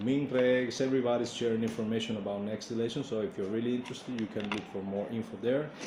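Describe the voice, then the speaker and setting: A man speaks with a Spanish accent. Audible room echo and noticeable background noise surround his voice. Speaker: Cuban institute official. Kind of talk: presentation. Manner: halting, many fillers.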